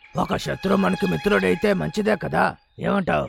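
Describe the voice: A cartoonish character voice from a man, high-pitched with a slightly husky edge and vocal fry, ordinary pitch variation, a moderate pace, and faint music in the background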